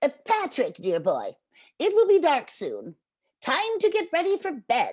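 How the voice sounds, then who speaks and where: A woman speaks in a put-on character voice, squeaky and extremely high-pitched, at a moderate pace. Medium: read story. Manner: warm, doting.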